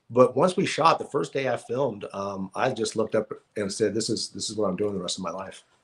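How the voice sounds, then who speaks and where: A man with an ordinary speaking voice and an American accent, medium in pitch with ordinary pitch variation, at a fairly quick pace on a very clean recording with a silent background. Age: 50s. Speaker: actor. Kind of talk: casual interview chat. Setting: live podcast.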